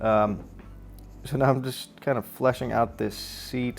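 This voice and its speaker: This is a man speaking. Music plays in the background. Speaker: designer and drawing tutor. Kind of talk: tutorial. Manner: casual, thinking aloud.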